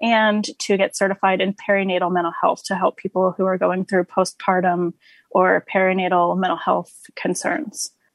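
Dry and close with no echo, this woman's medium-pitched delivery has fairly even intonation and a plain, everyday voice. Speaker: social worker. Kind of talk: panel discussion.

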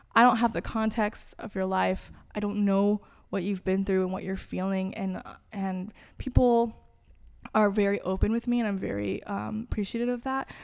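A woman with an American accent speaks in an unremarkable speaking voice, medium in pitch, at a moderate pace with fairly even intonation. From Florida and elsewhere in the US. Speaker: campus ministry communications staff. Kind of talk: interview.

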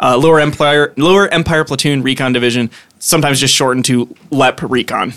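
What's heard is a natural reading voice.

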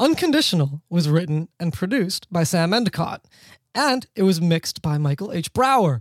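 High in pitch, a man speaks at a moderate pace with very wide pitch swings. The recording is very clean with a silent background and a dry, close sound with no echo. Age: 30s. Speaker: music podcast host. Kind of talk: scripted narration; casual chat.

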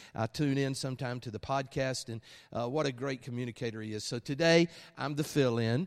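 A man with an Alabama accent, medium in pitch, with fairly even intonation. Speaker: guest preacher. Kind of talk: sermon. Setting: church with congregation.

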